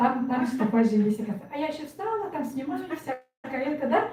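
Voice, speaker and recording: With a Yakutian accent, a woman speaks at a high pitch and a very fast pace. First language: Yakut (speaking Russian). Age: 60s. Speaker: network marketing member. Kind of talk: testimony.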